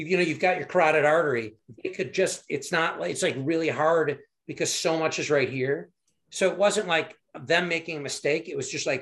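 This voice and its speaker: A man with an American accent speaks at a fairly quick pace, his fairly high voice showing ordinary pitch variation. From Michigan. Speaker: heart surgery survivor, former army officer. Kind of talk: interview, personal story. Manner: halting, many fillers.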